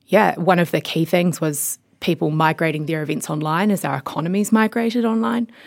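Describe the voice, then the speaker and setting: Speaking in a New Zealand accent, a woman with a fairly low pitch moves at a fairly quick pace with lively intonation and hardly any pauses. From New Zealand, rural Mid-Canterbury. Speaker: tech company CEO, former lawyer. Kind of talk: interview.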